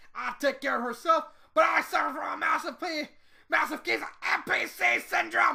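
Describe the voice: A put-on character voice comes through high-pitched and raspy. It moves at a moderate pace.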